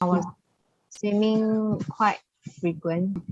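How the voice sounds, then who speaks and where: Somewhat breathy, a woman talks at a fairly slow pace with a Malaysian accent and ordinary pitch variation. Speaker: breast cancer patient. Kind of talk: interview testimony.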